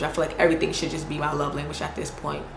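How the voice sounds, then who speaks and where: A woman is speaking. Room echo is audible, along with noticeable background noise. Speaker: YouTuber. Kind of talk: casual Q&A vlog. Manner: casual, slangy.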